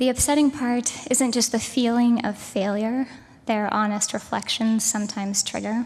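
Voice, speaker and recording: A woman's shaky, fairly high voice with fairly even intonation and very even loudness, over noticeable background noise. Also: moderate pace. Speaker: keynote speaker. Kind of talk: keynote speech. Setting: stage with audience at a conference. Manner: shaky, trembling voice.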